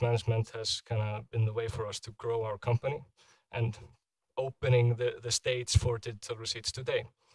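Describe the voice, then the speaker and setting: A man with an Icelandic accent, somewhat breathy and monotone, with flat intonation at a moderate pace, against a quiet background. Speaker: product manager; presenter. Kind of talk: conference talk; conference presentation. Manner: halting. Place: hall.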